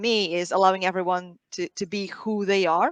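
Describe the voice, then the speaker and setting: A woman speaks at a medium pitch with a Portuguese accent. Her voice sounds dry and close, with no echo. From Portugal. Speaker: sales team leader. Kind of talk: panel discussion. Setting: live online stream.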